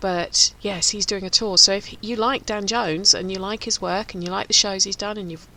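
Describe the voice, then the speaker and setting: A woman speaks with a Home Counties accent. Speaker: radio host. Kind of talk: casual chat. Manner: fast.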